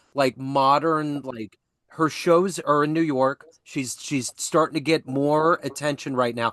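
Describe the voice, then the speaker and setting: The delivery is fairly slow with fairly even intonation, in an unremarkable speaking voice. The sound is dry and close with no echo over a quiet background. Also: man, fairly high pitch for a man. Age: 50s. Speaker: podcast host. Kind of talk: interview.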